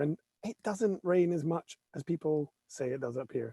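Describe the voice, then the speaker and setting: A Scottish accent comes through in a dry, close recording with no echo. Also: man. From Scotland. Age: 40s. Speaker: photographer. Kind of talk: casual chat.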